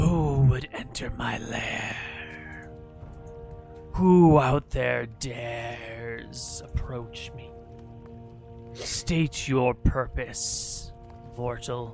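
Over clear music in the background, a man in a put-on character voice speaks at medium pitch and a very slow pace, with long, frequent pauses. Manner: menacing, commanding.

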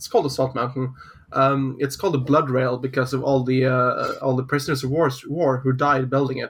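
Speaking at a fairly quick pace, a man keeps a medium pitch with monotone, flat intonation. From northern Norway. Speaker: podcast host. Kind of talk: casual chat.

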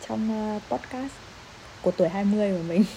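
The woman's fairly slow speech sits fairly high, with ordinary pitch variation. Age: 20s. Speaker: podcast host, university student. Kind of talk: solo podcast monologue. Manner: casual, laughing often.

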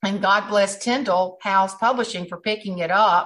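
Somewhat breathy, a woman with a South Carolina accent speaks at a moderate pace in a medium pitch with ordinary pitch variation. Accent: Southern US (South Carolina). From South Carolina low country. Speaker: humorist and speaker. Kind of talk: casual interview chat. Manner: animated.

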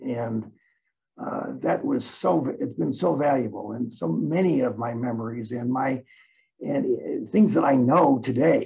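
A man speaks with lively intonation. His voice carries vocal fry. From US Midwest, east side of Detroit. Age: 80s+. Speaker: real estate lawyer. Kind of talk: interview.

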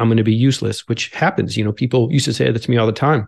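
A man talks at a very fast pace with vocal fry. His pitch is medium, with ordinary variation. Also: quiet background. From upstate New York, Albany. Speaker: paramedic and author. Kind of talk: interview conversation.

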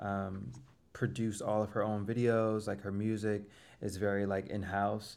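With an unremarkable speaking voice, a man speaks fairly low in pitch and with fairly even intonation. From Florida. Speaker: singer-songwriter. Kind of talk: casual chat.

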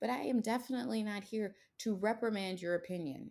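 A woman's fairly high voice with a dark, mellow tone, a fairly quick pace and ordinary pitch variation. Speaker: podcast host and speech-language pathologist. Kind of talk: casual chat. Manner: forceful.

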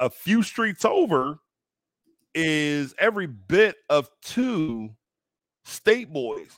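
A loud man at a high pitch, very slow, with very wide pitch swings, long, frequent pauses and a dry, close sound free of echo. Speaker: podcast co-host. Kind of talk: casual chat.

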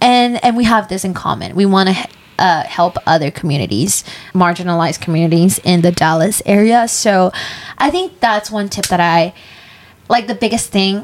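With an ordinary speaking voice, this woman goes at a moderate pace, her pitch medium and its variation ordinary. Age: 20s. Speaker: podcast co-host. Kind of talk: casual chat.

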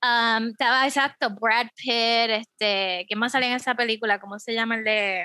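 Recorded very cleanly with a silent background and a dry, close sound with no echo, a woman speaks at a moderate pace in a bright, sharp tone with a fairly high pitch and fairly even intonation. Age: 30s. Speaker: teacher. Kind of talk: casual chat.

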